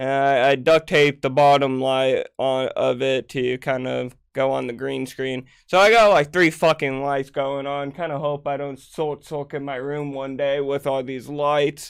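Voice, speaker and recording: A man with a normal speaking voice and a fairly high pitch talks at a fairly slow pace with fairly even intonation and hardly any pauses, on a very clean recording with a silent background. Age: 20s. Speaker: gaming youtuber. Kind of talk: casual vlog monologue. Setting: home recording room with green screen.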